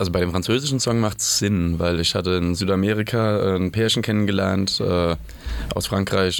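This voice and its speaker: Over noticeable background noise, a man talks at a moderate pace with ordinary pitch variation. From Germany, Mainz. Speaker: punk band singer and author. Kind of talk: casual chat. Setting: radio studio.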